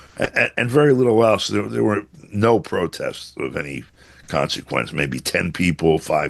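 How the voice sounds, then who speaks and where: A man talks at a moderate pace with vocal fry and very wide pitch swings. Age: 70s. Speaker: journalist. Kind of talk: interview commentary. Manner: halting with many fillers.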